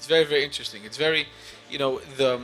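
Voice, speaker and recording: A man's voice over noticeable background noise. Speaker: interviewer and magazine writer. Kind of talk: interview. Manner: fast; animated.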